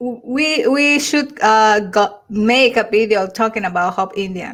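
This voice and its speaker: A woman speaks at a very slow pace in a Mexican accent. Her pitch is fairly high, with ordinary variation. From Mexico. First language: Spanish. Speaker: YouTuber. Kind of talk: casual chat. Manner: halting.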